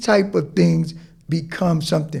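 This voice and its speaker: A man with an American accent, animated in tone and lively in intonation. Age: 60s. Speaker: basketball coach and motivational speaker. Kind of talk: casual podcast chat.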